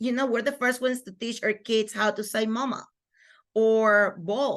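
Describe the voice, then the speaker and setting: Fairly slow and fairly even in intonation, the speaker talks with a Spanish accent against a quiet background. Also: woman. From Venezuela. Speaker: microschool founder and homeschooling mother. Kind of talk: interview conversation.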